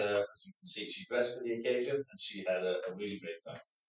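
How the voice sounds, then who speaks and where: Moving at a fairly quick pace, a man talks at a medium pitch with ordinary pitch variation. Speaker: community volunteer organizer. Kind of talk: presentation to council. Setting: council meeting chamber. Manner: loud; hesitant with many fillers.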